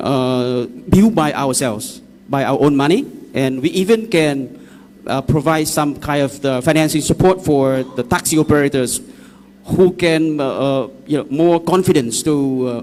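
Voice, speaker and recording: A man's fairly high voice in a Vietnamese accent, at a moderate pace with ordinary pitch variation. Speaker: EV taxi company representative. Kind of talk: public consultation presentation. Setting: public hall meeting. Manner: halting.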